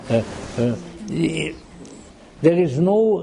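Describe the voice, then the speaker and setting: A man's fairly high-pitched voice at a very slow pace, with audible room echo. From Austria-Hungary region, Central Europe. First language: German and Hungarian. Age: old. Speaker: lecturer on Gnosticism and mythology. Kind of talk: lecture. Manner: halting, frequent repetitions and fillers.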